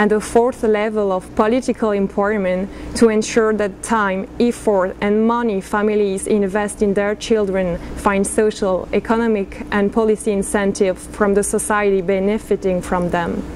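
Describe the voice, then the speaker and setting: A woman speaks at a moderate pace with hardly any pauses. Her intonation is flat and monotone, with light background noise. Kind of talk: formal prepared statement. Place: meeting room. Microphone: podium.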